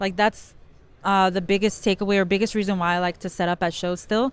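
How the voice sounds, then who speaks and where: A woman with a Spanish accent speaks at a fairly quick pace in a medium pitch. Her intonation is flat and monotone, and the recording is very clean with a silent background. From South Central Los Angeles. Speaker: former school teacher, card break business owner. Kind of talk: casual interview. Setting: card show floor.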